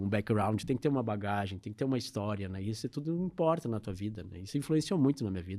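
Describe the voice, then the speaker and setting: The speaker has a dark, mellow tone and races along at a very fast pace with hardly any pauses. The recording is very clean, with a silent background. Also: man, fairly low pitch for a man, lively intonation. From southern Brazil, Porto Alegre. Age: 60s. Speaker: advertising executive. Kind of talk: interview.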